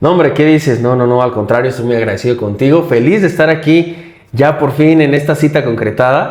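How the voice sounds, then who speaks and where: In a normal speaking voice, a man with a fairly high pitch talks at a fairly quick pace with ordinary pitch variation and hardly any pauses. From Mexico, Michoacán. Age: 30s. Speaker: politician and wheelchair user. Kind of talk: interview.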